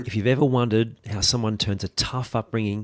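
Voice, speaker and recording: Fairly even intonation with an Australian accent, on a very clean recording over a silent background. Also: man. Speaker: podcast host. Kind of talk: scripted intro.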